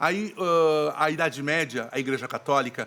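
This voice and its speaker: Bright and sharp in tone, a man's fairly high voice has ordinary pitch variation. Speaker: actor and theatre director. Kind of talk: podcast interview.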